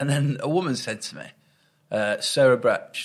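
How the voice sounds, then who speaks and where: Lively in intonation, this voice in a Lancashire accent moves at a moderate pace against a quiet background. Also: man. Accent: Wigan. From northern England, Wigan. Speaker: stand-up comedian. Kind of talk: casual interview chat. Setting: in-person sit-down interview. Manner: halting, self-interrupting.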